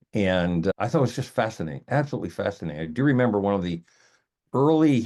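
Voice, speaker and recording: Over a quiet background, a man with a New York accent talks at a very fast pace, his fairly low voice full of lively intonation. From New York City (Queens). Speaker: attorney and arbitrator. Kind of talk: interview.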